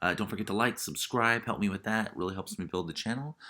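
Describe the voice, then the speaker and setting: The man's bright, sharp voice has vocal fry. His pitch swings very widely. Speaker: stock market YouTuber. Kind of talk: casual explainer video. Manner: hesitant with many fillers.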